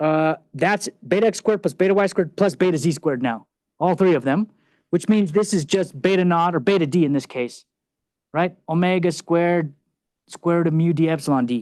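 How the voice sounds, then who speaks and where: The pace is fairly quick, with ordinary pitch variation and very even loudness. The sound is dry and close with no echo, over a quiet background. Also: man, high pitch for a man. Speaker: university lecturer. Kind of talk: lecture. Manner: fast.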